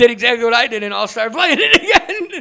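A raised, projected voice with lively intonation. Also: man. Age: 20s. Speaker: podcast host. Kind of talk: casual chat.

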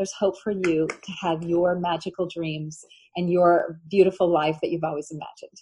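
At a moderate pace, a somewhat breathy voice speaks in a dark, mellow tone with monotone, flat intonation. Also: woman, fairly low pitch for a woman. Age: 60s. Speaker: author. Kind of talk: interview.

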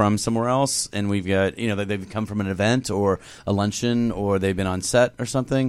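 With ordinary pitch variation and a fairly low pitch, a man talks in an ordinary speaking voice. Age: 30s. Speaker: celebrity stylist. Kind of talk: casual chat. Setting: studio.

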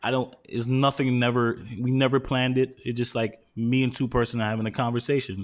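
A man with a New York accent speaks at a medium pitch in a monotone, flat delivery. He moves at a fairly quick pace with hardly any pauses, in a very clean recording with a silent background. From New York City. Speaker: podcast host. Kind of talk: casual chat.

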